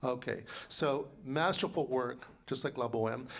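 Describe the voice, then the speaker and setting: This man's voice sits fairly high and sounds animated. Audible echo from the room surrounds it. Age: 60s. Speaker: composer and librettist. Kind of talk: lecture.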